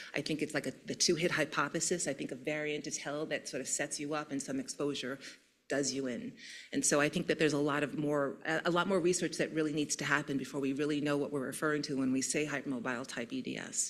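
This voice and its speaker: A woman's very deep, low voice at a very fast pace with fairly even intonation. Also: very clean recording, silent background. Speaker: neurologist. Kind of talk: conference talk. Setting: stage with audience.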